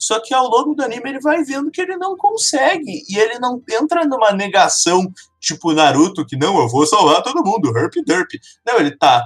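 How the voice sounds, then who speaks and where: A man speaks at an extremely high pitch. His pitch swings very widely at a moderate pace. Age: 20s. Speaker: computer science student. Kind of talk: casual chat.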